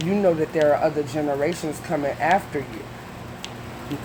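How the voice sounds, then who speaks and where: Over noticeable background noise, a woman talks at a moderate pace in a very deep, low pitch with ordinary pitch variation. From US Midwest, Detroit, Michigan. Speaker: reaction video youtuber. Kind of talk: casual commentary monologue. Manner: animated.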